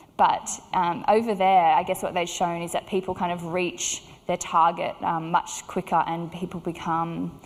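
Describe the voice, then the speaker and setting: Recorded very cleanly against a silent background, a woman with an Australian accent speaks at a moderate pace in a fairly low pitch with monotone, flat intonation. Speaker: clinical psychologist. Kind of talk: conference talk. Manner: hesitant with many fillers.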